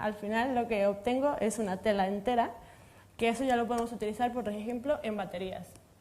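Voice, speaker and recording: A woman with a Mexican accent speaks at a moderate pace, her fairly high pitch held in a fairly even intonation. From Mexico. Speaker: materials science researcher. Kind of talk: panel discussion.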